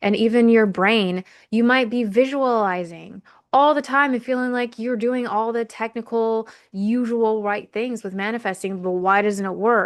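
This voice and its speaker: A woman with a fairly high voice talks at a moderate pace and fairly even intonation. The background is quiet. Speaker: podcast host. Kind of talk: solo podcast monologue.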